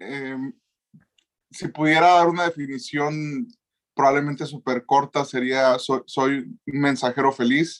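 Spoken at a very slow pace in a northern Mexican accent, the sound is dry and close with no echo. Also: man, fairly high pitch for a man, fairly even intonation. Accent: northern Mexican Spanish (Sonora). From Mexico, Sonora. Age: 20s. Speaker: youth pastor and preacher. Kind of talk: casual chat.

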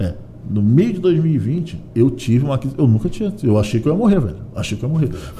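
Through noticeable background noise, a man talks very fast at a medium pitch, his voice making very wide pitch swings. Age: 40s. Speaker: comedian. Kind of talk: casual chat.

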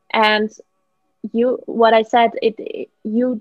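A woman speaks with a Dutch accent. Her pitch sits fairly high. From Netherlands. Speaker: life coach. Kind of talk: interview. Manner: hesitant, many fillers.

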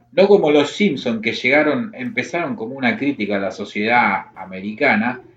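At a moderate pace with hardly any pauses, a man of medium pitch makes very wide pitch swings. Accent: Rioplatense. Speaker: podcast host. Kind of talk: casual chat.

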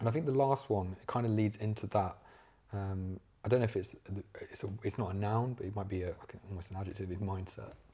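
Talking at a very fast pace with an East Midlands accent, a man uses a fairly low, somewhat breathy voice with a dark, mellow tone and fairly even intonation, captured in a very clean recording with a silent background. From English Midlands, Leicester. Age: 20s. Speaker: social media entrepreneur. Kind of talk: casual interview.

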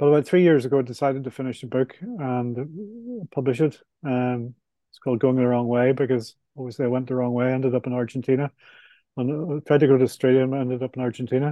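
The speaker talks at a very fast pace with fairly even intonation. Loudness swings widely from moment to moment. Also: man, medium pitch for a man. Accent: Belfast. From Northern Ireland, Belfast. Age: 60s. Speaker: author and property developer. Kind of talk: casual interview.

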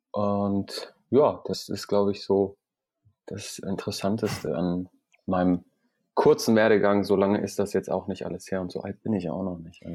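On a very clean recording with a silent background, a man speaks at a fairly low pitch with a dark, mellow tone and fairly even intonation. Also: moderate pace. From Iran. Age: 30s. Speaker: entrepreneur. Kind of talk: interview.

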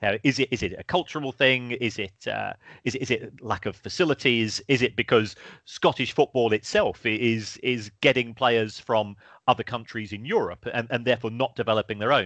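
A man with a London accent talks at a fairly quick pace in a bright, sharp tone at medium pitch. The background is quiet, and the sound is dry and close, with no echo. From South London. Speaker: university lecturer in football finance. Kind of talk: casual chat. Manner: halting, repeats words.

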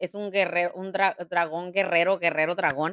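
A woman's voice comes through with a bright, sharp tone. The recording is very clean, with a silent background and a dry, close sound with no echo. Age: 40s. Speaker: podcast host. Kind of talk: casual chat; motivational talk. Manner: halting.

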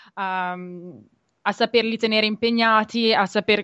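A woman's fairly high, monotone voice with flat intonation, dry and close with no echo, over a quiet background. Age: 20s. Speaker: graduate student and community volunteer. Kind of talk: radio interview. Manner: hesitant, many fillers.

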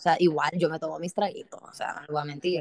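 A plain, everyday voice from a woman, fairly low in pitch with fairly even intonation, in a dry, close sound with no echo. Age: 20s. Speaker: podcast host. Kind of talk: casual chat.

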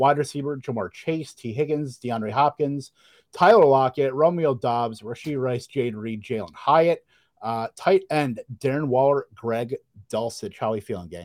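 At a moderate pace, a man speaks in a plain, everyday voice at medium pitch. His pitch varies in an ordinary way, and the sound is dry and close with no echo. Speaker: fantasy football podcast host. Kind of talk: casual chat, live draft. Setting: online video stream with live chat.

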